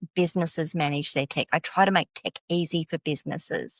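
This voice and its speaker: A woman speaks with an Australian accent at a moderate pace. The recording is very clean, with a silent background. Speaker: tech consultant. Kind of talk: podcast interview.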